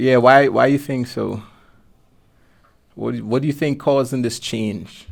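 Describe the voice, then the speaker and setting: A man with a Guyanese accent speaks at a medium pitch with fairly even intonation. His pace is fairly slow, with long, frequent pauses. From Guyana. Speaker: podcast host. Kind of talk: casual interview.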